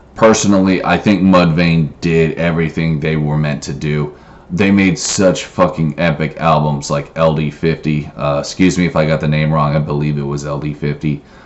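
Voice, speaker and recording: Through noticeable background noise, a man with a very deep, low pitch speaks at a moderate pace with fairly even intonation. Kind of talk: casual talk to camera. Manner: hesitant, filler-heavy.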